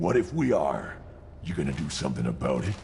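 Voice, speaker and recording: A man puts on a character voice, pitched very deep and low, talking at a fairly quick pace over clear background noise. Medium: video game. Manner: taunting.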